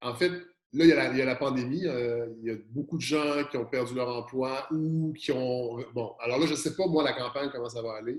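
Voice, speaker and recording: With a Quebec accent, a man talks at a medium pitch with ordinary pitch variation and hardly any pauses. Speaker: podcaster. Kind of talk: interview. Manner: fast; animated.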